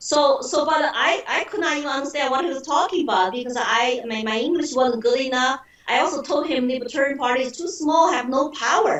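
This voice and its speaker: A woman with a Chinese accent speaks fairly quickly in a high voice. Noticeable background noise can be heard. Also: ordinary pitch variation. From China (Shanghai). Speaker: political candidate. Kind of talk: interview.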